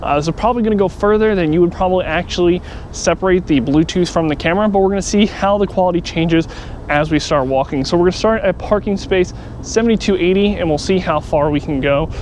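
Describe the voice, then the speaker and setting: A man with a high-pitched voice talks very fast over noticeable background noise. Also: ordinary pitch variation. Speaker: tech product reviewer. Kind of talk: product review tutorial. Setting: outdoors on a parking garage roof.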